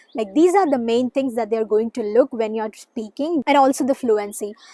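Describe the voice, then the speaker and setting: At a high pitch with ordinary variation, a woman speaks with a dry, close sound and no echo. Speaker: student vlogger. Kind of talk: casual tutorial vlog. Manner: frequent hesitations, uh fillers.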